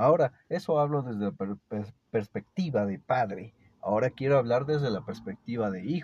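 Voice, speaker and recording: With an animated tone and lively intonation, a man speaks at a moderate pace and medium pitch, sounding somewhat breathy in a dry, close recording with no echo. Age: 30s. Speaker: podcaster sharing personal reflections. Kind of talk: personal monologue.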